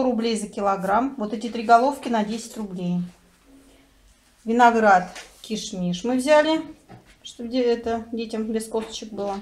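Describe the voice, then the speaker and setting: A woman talks at a very slow pace. Her pitch varies in an ordinary way. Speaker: home vlogger. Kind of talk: casual vlog chat. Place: home room. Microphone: phone near.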